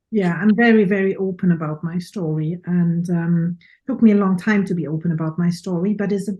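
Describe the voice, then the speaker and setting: A woman with a German accent talks at a moderate pace in a medium pitch, her tone dark, mellow and somewhat breathy. Her intonation stays fairly even, with hardly any pauses. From Germany. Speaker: professional photographer and speaker. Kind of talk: casual interview chat.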